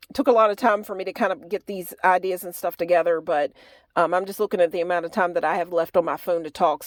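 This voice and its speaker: In a put-on character voice, a woman speaks very fast with a raspy sound at a medium pitch, in a very clean recording with a silent background. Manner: talking fast.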